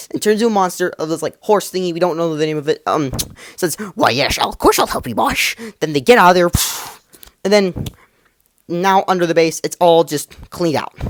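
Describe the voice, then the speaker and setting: The pace is fairly quick, broken by long, frequent pauses. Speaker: YouTube TV show reviewer. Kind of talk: episode recap and review. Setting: recording at a computer. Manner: fast; animated, with sound effects and character voices.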